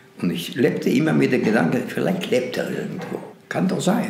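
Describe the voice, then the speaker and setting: Clearly audible background noise accompanies a man speaking at a medium tempo. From Lithuania. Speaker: Holocaust survivor, eyewitness. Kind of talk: interview answer.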